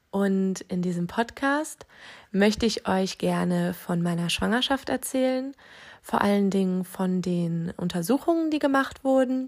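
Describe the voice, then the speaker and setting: This woman's voice sits at a medium pitch and moves at a fairly slow pace. Her intonation is lively. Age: 20s. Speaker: parenting podcast host, new mother. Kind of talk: solo podcast monologue.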